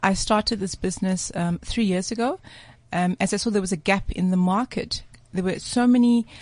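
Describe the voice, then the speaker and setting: Against a quiet background, a woman talks at a fairly quick pace in a somewhat breathy voice of medium pitch with ordinary pitch variation. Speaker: guest, women's empowerment entrepreneur. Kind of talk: radio interview.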